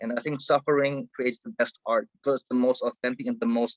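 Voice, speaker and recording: A man speaks in a German accent, captured dry and close with no echo. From Germany and Egypt. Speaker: hip hop artist. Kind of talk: interview conversation. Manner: halting, many fillers.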